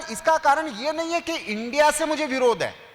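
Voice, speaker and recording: A man speaks over noticeable background noise. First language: Marathi (speaking Hindi). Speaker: newspaper editor, speaker. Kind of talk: lecture. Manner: conversational, asks audience questions.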